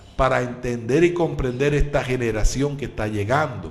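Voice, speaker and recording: With music in the background, the voice carries ordinary pitch variation and audible room echo. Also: man. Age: 60s. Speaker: pastor and radio preacher. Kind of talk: radio sermon. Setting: live radio broadcast.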